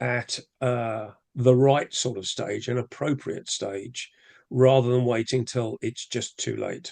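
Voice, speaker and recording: In an English accent, a man with a medium pitch and ordinary pitch variation speaks at a very slow pace, the sound dry and close with no echo. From England. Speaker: rotary club leader, webinar presenter. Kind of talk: casual chat; webinar presentation.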